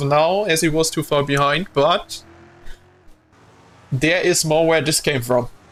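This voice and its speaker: Music plays in the background as a man speaks at a fairly high pitch and a fairly slow pace, with very even loudness. He leaves long, frequent pauses. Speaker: streamer commentating a sim racing event. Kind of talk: live commentary. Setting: live stream. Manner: animated.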